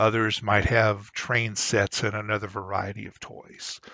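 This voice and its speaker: Here a man talks at a fairly slow pace with a slight Southern US accent. His pitch is fairly low. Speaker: YouTuber. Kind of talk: storytelling monologue. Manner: hesitant, many fillers.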